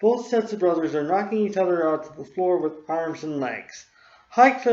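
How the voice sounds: The voice heard here is a natural reading voice.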